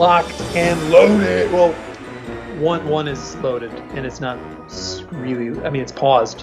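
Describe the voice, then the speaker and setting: A man with a fairly high voice speaks fairly slowly, with long, frequent pauses and music in the background. His intonation is lively, and his loudness swings widely. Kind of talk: casual podcast talk, trailer reaction.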